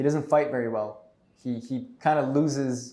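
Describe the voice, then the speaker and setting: A man talks at a moderate pace in a medium pitch, with ordinary pitch variation and audible room echo. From Montreal, Quebec. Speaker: podcast host. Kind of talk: interview.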